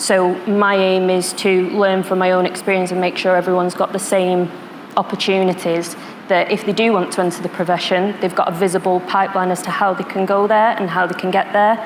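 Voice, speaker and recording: The speaker talks in a Manchester accent at a fairly quick pace. Intonation is monotone and flat, with noticeable background noise. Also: woman, medium pitch for a woman. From northern England, Manchester. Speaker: security professional, panelist. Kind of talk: panel discussion.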